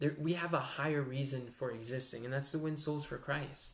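Monotone, flat intonation marks this man's speech. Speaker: speaker. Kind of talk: sermon. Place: home room. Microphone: webcam.

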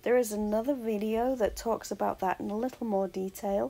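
Fairly slow delivery in a dark, mellow tone. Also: woman. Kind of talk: tutorial voice-over. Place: home room.

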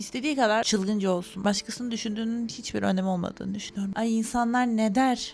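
A woman with a fairly high pitch speaks very fast with hardly any pauses and fairly even intonation. Noticeable background noise runs underneath. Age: 20s. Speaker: YouTuber, master's student. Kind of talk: vlog monologue to camera. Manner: casual, chatty.

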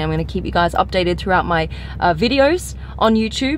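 Light background noise accompanies a woman's voice in a dry sound with no echo. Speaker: car vlogger. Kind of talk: casual vlog chat. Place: car. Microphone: phone near.

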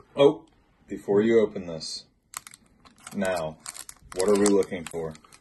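A man speaks in a plain, everyday voice at a fairly low pitch and fairly slow pace, with ordinary pitch variation. His loudness swings a lot, and there is light background noise. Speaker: gaming YouTuber. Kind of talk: pack opening video. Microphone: phone near.

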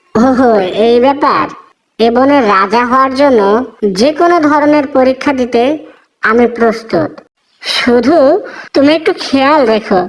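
A female-sounding, cartoonish character voice pitched high for a woman moves at a fairly slow pace. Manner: naive, boastful.

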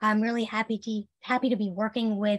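A woman speaks in a fairly high pitch that sounds somewhat breathy. The background is quiet. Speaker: occupational therapist. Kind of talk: presentation. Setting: online video webinar. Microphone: video call.

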